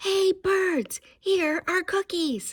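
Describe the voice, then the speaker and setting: Shouting in a put-on character voice, the speaker hits an extremely high pitch. The sound is squeaky. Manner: loud shout.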